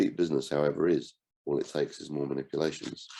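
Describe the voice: A man talks at a fairly quick pace with extremely low pitch, vocal fry and a dark, mellow tone.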